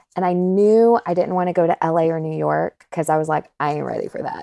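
A woman with an American accent talks at a fairly quick pace. The background is quiet and the sound is dry and close with no echo. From North Carolina, US South. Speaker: voice actor. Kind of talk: casual interview chat.

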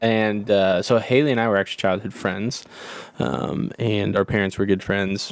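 A normal speaking voice with an American accent talks at a moderate pace, showing ordinary pitch variation. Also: man, fairly low pitch for a man. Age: 30s. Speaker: podcast co-host. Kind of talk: personal testimony. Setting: home closet.

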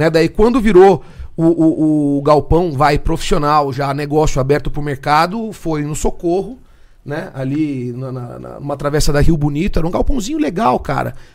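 Speaking at a moderate pace, a man has a normal speaking voice with a fairly high pitch. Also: ordinary pitch variation. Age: 40s. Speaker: muscle car workshop owner. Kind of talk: casual chat.

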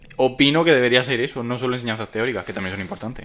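A man with a medium-pitched voice talks very fast while noticeable background noise sits behind him. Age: 20s. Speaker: podcast co-host, graphic designer. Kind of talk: casual chat. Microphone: cheap microphone and headset.

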